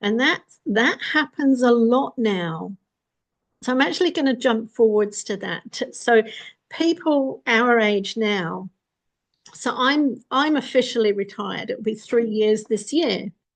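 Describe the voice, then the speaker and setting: This is an ordinary speaking voice with lively intonation. It moves at a fairly slow pace over a quiet background. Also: woman, fairly high pitch for a woman. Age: 60s. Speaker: vlogger. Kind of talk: casual monologue. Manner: conversational.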